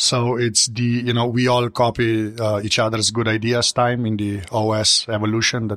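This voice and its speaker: A man speaks at a medium pitch. His intonation is flat and monotone. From Slovenia. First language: Slovenian. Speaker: tech journalist. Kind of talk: casual panel discussion.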